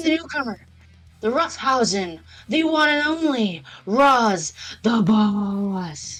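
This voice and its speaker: This put-on character voice sits at a fairly high pitch and moves at a very slow pace with long, frequent pauses. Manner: grand, theatrical.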